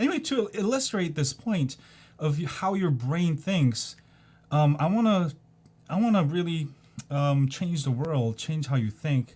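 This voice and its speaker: A somewhat breathy, dark and mellow voice at a moderate pace with very wide pitch swings, on a very clean recording with a silent background. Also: man. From South Korea. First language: Korean. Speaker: video blogger. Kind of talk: casual monologue. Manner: hesitant, many ums.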